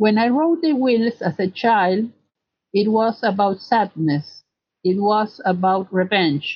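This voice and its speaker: A woman with an Argentine accent speaks at a very slow pace, her fairly high voice somewhat breathy. Her intonation is lively and her loudness very even. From Argentina. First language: Spanish. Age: 70s. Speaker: storyteller. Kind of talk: personal storytelling.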